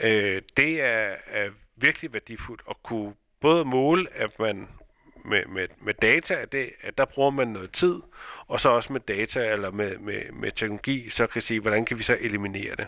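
On a very clean recording with a silent background, a man's bright, sharp tone comes through in a dry, close sound with no echo. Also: medium pitch for a man, ordinary pitch variation. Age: 40s. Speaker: company founder and director. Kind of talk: interview. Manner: halting, many fillers.

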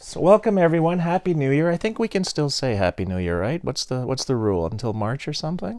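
In a very clean recording with a silent background, a man talks very fast at a fairly high pitch, with very wide pitch swings and hardly any pauses. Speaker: podcast host. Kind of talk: casual chat.

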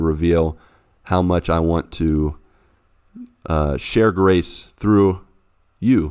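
In a very clean recording with a silent background, a man with an American accent speaks at a very deep, low pitch. He goes very slowly, with fairly even intonation and long, frequent pauses. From US, West Virginia. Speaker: pastor and missionary. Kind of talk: casual chat about scripture.

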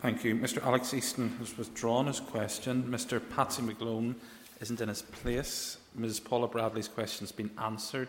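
A man with a Northern Irish accent speaks at a medium pitch with monotone, flat intonation. Noticeable background noise is present. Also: moderate pace. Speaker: presiding deputy speaker chairing the session. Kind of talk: parliamentary proceedings, chairing, procedural announcements. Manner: formal with dry wit.

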